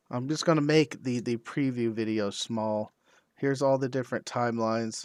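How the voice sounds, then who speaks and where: A man speaks at a moderate pace on a very clean recording with a silent background. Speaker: ham radio video creator. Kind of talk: tutorial. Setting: live stream. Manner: loud.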